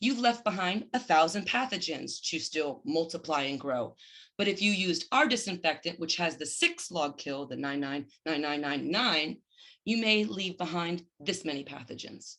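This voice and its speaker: A woman's fairly low voice with a bright, sharp tone, lively intonation and a moderate pace. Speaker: business owner presenting her company. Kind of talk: business presentation.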